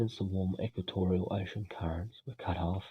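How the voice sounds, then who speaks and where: Soft-spoken and somewhat breathy, a man with an Australian accent has a very deep, low pitch. He keeps a moderate pace and fairly even intonation. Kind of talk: ASMR educational reading.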